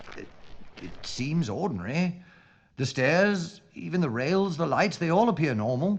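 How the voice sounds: Putting on a character voice, a man speaks at a fairly slow pace with a fairly high pitch, vocal fry and big pitch swings.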